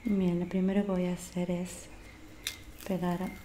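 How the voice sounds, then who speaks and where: Soft-spoken and very slow, a woman talks at a medium pitch over light background noise. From Argentina. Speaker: ASMR creator. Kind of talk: ASMR role-play. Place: home room. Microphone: studio mic.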